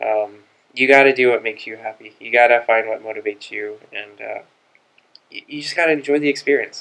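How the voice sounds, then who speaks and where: The speaker talks in a monotone with flat intonation. The pace is fairly quick, with an American accent. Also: man. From Los Angeles, US. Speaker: college student; guest. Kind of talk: interview. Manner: hesitant, many fillers. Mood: calm, friendly, advisory. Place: meeting room. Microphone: studio mic.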